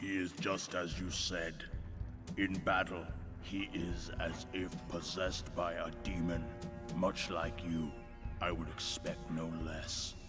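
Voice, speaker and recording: A put-on character voice at a fairly slow pace over loud background music. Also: man, very deep, low pitch for a man. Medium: video game. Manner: slow, solemn, portentous.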